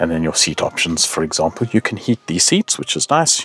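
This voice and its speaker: The sound is dry and close with no echo, though noticeable background noise is present. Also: man. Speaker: motoring show host. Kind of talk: car review. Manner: fast; animated.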